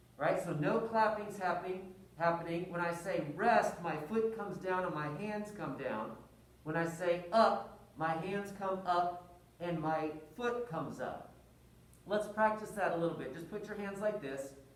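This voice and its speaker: Speech comes at a fairly slow pace. Noticeable background noise runs underneath. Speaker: music teacher. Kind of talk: tutorial. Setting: wearing a mask. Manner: rhythmic counting aloud.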